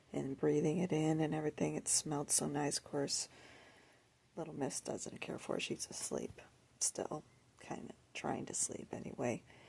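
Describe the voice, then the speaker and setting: A woman whispers, leaving long, frequent pauses. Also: moderate pace. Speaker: lifestyle vlogger. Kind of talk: casual vlog monologue. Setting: at home, early morning. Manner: soft-spoken.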